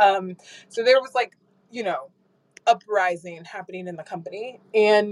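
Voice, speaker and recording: A woman with an unremarkable speaking voice, medium pitch, ordinary pitch variation and an American accent. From US Midwest (Michigan, Minneapolis). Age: 30s. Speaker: tech marketing executive. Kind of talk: casual chat. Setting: live audio chat room.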